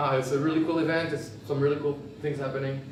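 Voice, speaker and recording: Talking at a very fast pace, a man with a fairly high voice is heard through noticeable background noise and audible room echo. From France. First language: French. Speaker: software instructor and conference speaker. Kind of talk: technical talk at a meetup. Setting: stage with audience. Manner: animated.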